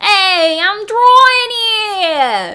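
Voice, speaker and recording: A put-on character voice in a New York accent at an extremely high pitch. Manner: stereotypical, toned down.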